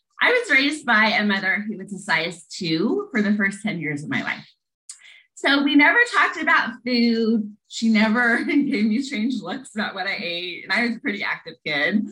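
A woman's bright, sharp voice, fairly high in pitch with very wide pitch swings, with a Midwestern US accent. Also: moderate pace. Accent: General American, Midwestern. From US Midwest, Lincoln, Nebraska. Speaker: poet and empowerment coach. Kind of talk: casual interview chat.

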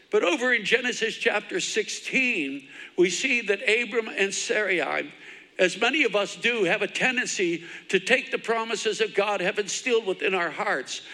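A man speaks at a moderate pace. His voice is raised and projected. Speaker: pastor. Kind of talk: sermon. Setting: church with congregation, livestreamed. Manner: fervent, repetitive.

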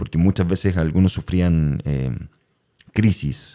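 Dry and close with no echo, a man with a Chilean accent speaks in a very deep, low pitch and a dark, mellow tone. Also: very clean recording, silent background. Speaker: podcast host and actor. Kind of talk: casual chat.

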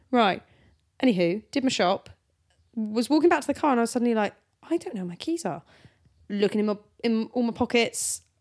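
On a very clean recording with a silent background, a woman with a fairly high pitch talks with lively intonation and long, frequent pauses. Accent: British. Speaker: podcast host. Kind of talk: casual banter between spouses. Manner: playful, teasing.

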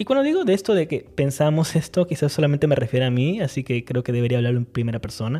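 A man talks very fast with hardly any pauses, in a somewhat breathy voice of fairly high pitch. His tone is dark and mellow, with ordinary pitch variation. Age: 30s. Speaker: writing podcast host. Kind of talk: solo podcast monologue on writing craft.

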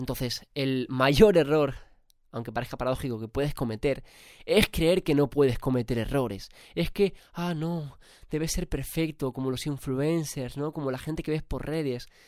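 A man's voice at medium pitch, slightly mellow in tone, at a fairly slow pace with ordinary pitch variation.

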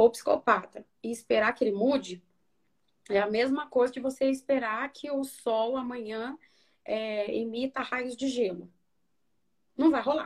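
Speaking fairly slowly, a woman keeps her voice high in pitch. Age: 30s. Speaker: psychologist. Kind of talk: interview on a live stream.

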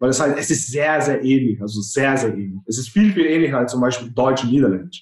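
In an unremarkable speaking voice of medium pitch, a man talks at a fairly quick pace with hardly any pauses and ordinary pitch variation. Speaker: business professional. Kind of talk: casual chat.

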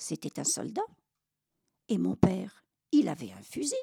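A woman's very slow speech in a dry, close sound with no echo. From France, Normandy (Caen). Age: 80s+. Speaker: war witness. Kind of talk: testimony. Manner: halting.

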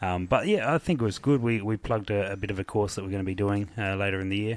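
This man speaks very fast with an Australian accent and a fairly low pitch. His intonation stays fairly even. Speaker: podcast host. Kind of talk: casual chat. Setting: hotel room.

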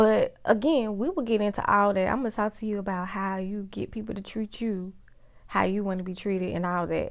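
In a very clean recording with a silent background, a woman at medium pitch talks at a fairly quick pace in an animated tone, with ordinary pitch variation. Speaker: podcast host and life coach. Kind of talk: motivational monologue.

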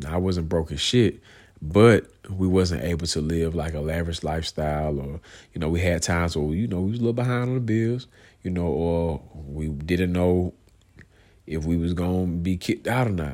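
A man with an American accent speaks at a moderate pace in a very deep, low voice, on a very clean recording with a silent background. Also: ordinary pitch variation. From US South, Georgia (Clayton County, south Atlanta). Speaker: podcast host. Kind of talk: casual monologue. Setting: at home, in bed, late at night.

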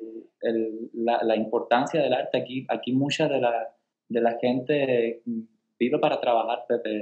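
At a fairly slow pace, a man with a medium pitch speaks in a monotone, flat intonation. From Cuba, Caibarién. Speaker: ballet dancer. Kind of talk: casual interview.

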